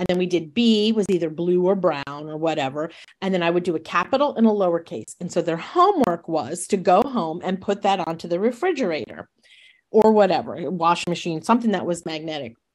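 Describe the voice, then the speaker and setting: A woman with an American accent and a normal speaking voice talks at a fairly quick pace and fairly low pitch with lively intonation, over a quiet background. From New York State. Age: 60s. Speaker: retired teacher. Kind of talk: interview conversation.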